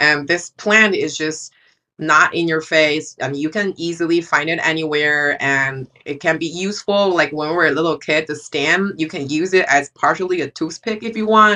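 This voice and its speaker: A woman with a Chinese accent has a very deep, low pitch and a bright, sharp tone. Her pitch variation is ordinary, and the background is quiet. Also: moderate pace, hardly any pauses. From China. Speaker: photographer. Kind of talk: casual chat.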